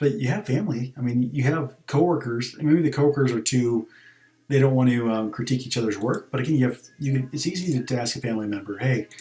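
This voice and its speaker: A man talks at a very fast pace and a medium pitch, with ordinary pitch variation. His tone is dark and mellow, and somewhat breathy. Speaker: gaming streamer. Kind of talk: casual gaming stream commentary. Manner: hesitant, many fillers.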